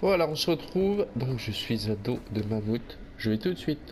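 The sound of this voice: At a moderate pace, a man speaks at a medium pitch with big pitch swings.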